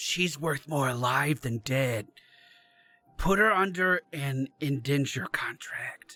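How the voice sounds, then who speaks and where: In a put-on character voice, a man whispers at a fairly slow pace with a raspy sound. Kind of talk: conspiratorial, persuasive. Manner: whispering.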